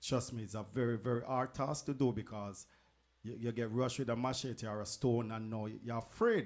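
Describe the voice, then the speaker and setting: A medium-pitched man with a Jamaican accent, fairly even intonation and a moderate pace, on a very clean recording with a silent background. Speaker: radio DJ, co-host. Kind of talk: radio talk show.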